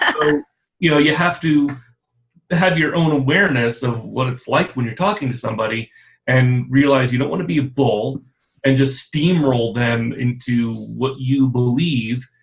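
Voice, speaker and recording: A man's medium-pitched speech, moving at a moderate pace, carries ordinary pitch variation. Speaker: creative director and consultant. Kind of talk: casual interview chat. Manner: loud.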